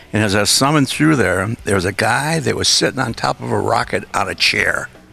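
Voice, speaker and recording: With music playing behind him, a man holds a moderate pace and a fairly low pitch. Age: 80s+. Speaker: rocket car and film industry veteran. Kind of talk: interview. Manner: halting.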